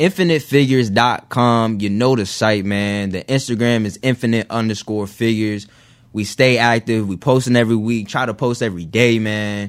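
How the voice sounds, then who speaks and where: Speaking in an American accent, a man uses an unremarkable speaking voice at medium pitch, with ordinary pitch variation and a moderate pace. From Northern Virginia. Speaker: clothing brand owner. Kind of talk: interview. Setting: studio.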